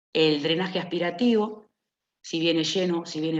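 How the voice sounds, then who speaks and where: A woman's voice at a fairly slow pace with fairly even intonation and audible room echo. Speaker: nurse. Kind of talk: lecture.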